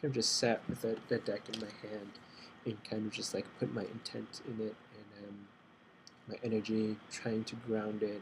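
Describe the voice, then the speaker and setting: Soft-spoken and somewhat breathy, a man talks at a moderate pace with a fairly low pitch. His intonation is monotone and flat. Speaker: tarot beginner. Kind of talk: casual talk to camera.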